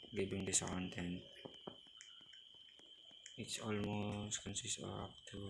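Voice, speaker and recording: Very slow, somewhat breathy speech in a monotone, flat delivery, marked by long, frequent pauses. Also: man, fairly low pitch for a man. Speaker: gaming YouTuber. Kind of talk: casual gameplay commentary.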